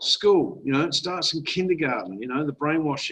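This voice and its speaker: This man's voice sits at a fairly high pitch and shows ordinary pitch variation. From Australia. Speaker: online marketer and investment presenter. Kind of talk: webinar presentation. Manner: casual, conversational.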